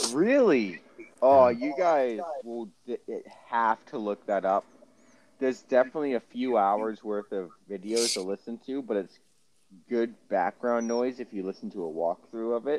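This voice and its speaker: With a plain, everyday voice, a man speaks at a moderate pace and medium pitch, his pitch varying in an ordinary way, in a dry, close sound with no echo. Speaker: podcast co-host. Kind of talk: casual chat.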